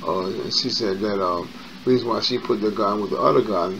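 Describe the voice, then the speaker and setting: With an American accent and fairly low pitch, a man talks at a fairly quick pace. His intonation is fairly even, and background noise is noticeable. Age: 50s. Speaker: YouTuber. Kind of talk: personal storytelling monologue. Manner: casual, with many fillers.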